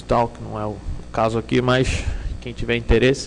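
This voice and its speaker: At a fairly quick pace, a man talks in a Rio de Janeiro accent. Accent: Rio de Janeiro (carioca) accent, noticeable. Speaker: security consultant / conference speaker. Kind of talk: conference talk. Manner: hesitant, many fillers.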